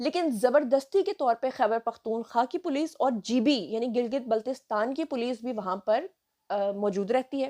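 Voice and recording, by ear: At a moderate pace, a woman speaks in a fairly high voice with a dark, mellow tone and ordinary pitch variation.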